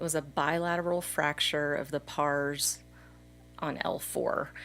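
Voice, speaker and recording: With music in the background, a woman with an American accent speaks at a fairly slow pace, her very deep, low pitch held in a monotone, flat intonation. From Texas. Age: 40s. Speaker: mountain biker. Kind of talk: casual chat.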